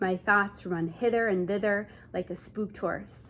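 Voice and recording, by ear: A natural voice, reading aloud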